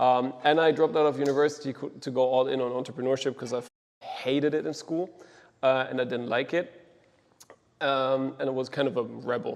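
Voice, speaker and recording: A man speaks with a German accent and a fairly even intonation. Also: medium pitch for a man, fairly quick pace. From Germany, Düsseldorf. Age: 20s. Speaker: agency co-founder, operations lead. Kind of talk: mastermind presentation. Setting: group mastermind session. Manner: casual, many fillers.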